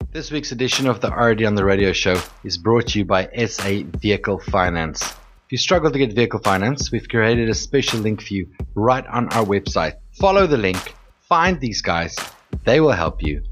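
This man has a normal speaking voice with medium pitch and lively intonation, delivered at a moderate pace. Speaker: radio host. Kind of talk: radio DJ patter with comedic monologue, show sponsor reads and segment intros. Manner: chatty, jokey, self-deprecating and punchy, with a cheerful broadcaster's delivery.

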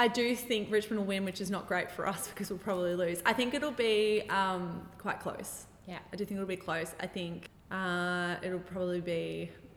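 Someone with an Australian accent speaks over noticeable background noise. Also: woman. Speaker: podcast host, guest on footy podcast. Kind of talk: casual chat. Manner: animated.

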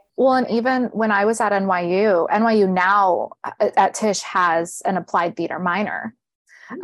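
Against a quiet background, a woman with a Californian accent speaks at a fairly slow pace. Her medium-pitched voice shows ordinary pitch variation. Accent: Californian American. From Riverside, Southern California. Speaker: teaching artist. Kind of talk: casual interview chat.

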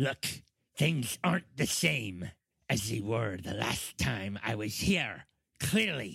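In a raspy, put-on character voice of medium pitch, a man speaks at a fairly slow pace with very wide pitch swings. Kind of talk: fantasy role-play character voice. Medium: actual play. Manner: terse, guarded.

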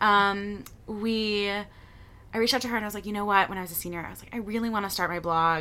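Bright and sharp in tone, a woman talks at a very fast pace with fairly even intonation on a very clean recording with a silent background. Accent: American. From Michigan, Detroit area. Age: 20s. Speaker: photographer and content creator. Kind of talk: casual interview. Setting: living room.

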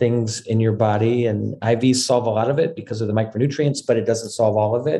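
This is a man with a medium pitch. The tone of his voice is dark and mellow. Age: 50s. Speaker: company founder and CEO. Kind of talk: interview.

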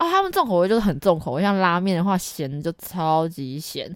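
Her pitch is fairly low, with ordinary variation. The woman talks at a very fast pace. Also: very clean recording, silent background. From Taiwan. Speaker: working holiday returnee. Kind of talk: casual chat.

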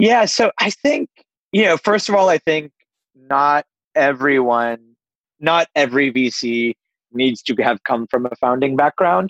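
With an American accent and an ordinary speaking voice, a man talks at a fairly slow pace and fairly high pitch, using lively intonation and very even loudness, in a dry, close sound with no echo. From US East Coast, Pittsburgh. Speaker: venture capital investor. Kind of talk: interview.

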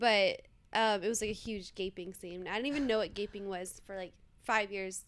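In an American accent, a woman with an unremarkable speaking voice and medium pitch talks at a moderate pace with fairly even intonation. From Los Angeles, US. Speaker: adult film performer. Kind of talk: casual chat.

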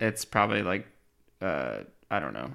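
A bright, sharp tone with vocal fry. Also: man. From Pennsylvania. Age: 30s. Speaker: transportation planner. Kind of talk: casual chat.

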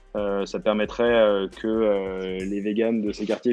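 Fairly low male voice in a flat monotone. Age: 30s. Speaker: delivery startup co-founder. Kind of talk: interview. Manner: halting.

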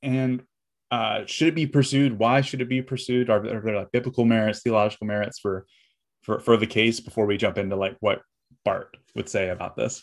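Fairly quick and fairly even in intonation, a man with a medium pitch and an unremarkable speaking voice is heard on a very clean recording with a silent background. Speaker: podcast host. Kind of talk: interview conversation.

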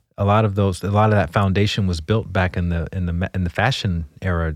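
In a very clean recording with a silent background, a man with an American accent speaks at a fairly quick pace with a very deep, low pitch and fairly even intonation. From US South, Montgomery, Alabama. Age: 40s. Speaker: meditation teacher. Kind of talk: interview conversation.

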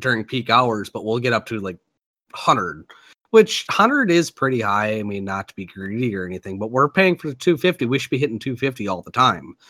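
In an Upper Midwest accent, a man at medium pitch speaks at a moderate pace with a bright, sharp tone and lively intonation, his loudness swinging widely. The sound is dry and close with no echo, on a very clean recording with a silent background. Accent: Upper Midwest American. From Minnesota. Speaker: podcast host. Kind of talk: casual chat.

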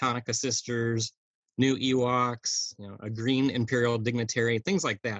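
An unremarkable speaking voice from a man, medium in pitch. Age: 40s. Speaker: toy collector. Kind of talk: casual chat.

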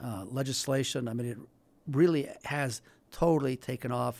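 A man speaks at a moderate pace in an unremarkable speaking voice, his pitch medium. The recording is very clean, with a silent background. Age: 60s. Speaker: law professor. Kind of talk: radio interview.

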